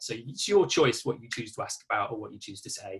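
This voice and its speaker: Someone with an East Midlands accent speaks at a very fast pace in a bright, sharp tone. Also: man. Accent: East Midlands English (Nottinghamshire). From England, Nottinghamshire. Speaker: coach and therapist. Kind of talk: online workshop presentation. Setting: video call. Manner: casual, conversational.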